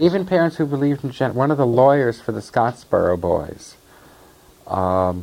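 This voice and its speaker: A normal speaking voice with ordinary pitch variation unfolds at a fairly slow pace. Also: man. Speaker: activist interviewee recounting life history. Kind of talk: interview recollection, conversational.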